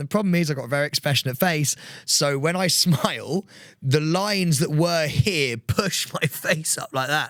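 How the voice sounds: The pitch rises and falls in an ordinary way. Its tone is fairly bright. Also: man.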